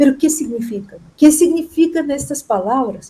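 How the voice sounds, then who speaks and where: With a non-native accent, a woman speaks using lively intonation. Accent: foreign accent in Spanish. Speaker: chemist, professor. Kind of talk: interview. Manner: halting, with false starts.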